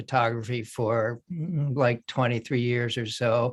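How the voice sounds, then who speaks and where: A normal speaking voice from a man with an American accent, medium in pitch, fairly slow and fairly even in intonation, over a quiet background. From Philadelphia area, US. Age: 60s. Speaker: artist and retired photographer. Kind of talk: panel discussion.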